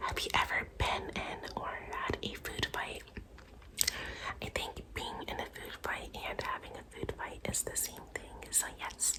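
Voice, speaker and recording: A woman whispers fairly slowly, and noticeable background noise can be heard behind her. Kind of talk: casual talk to camera. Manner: whispered.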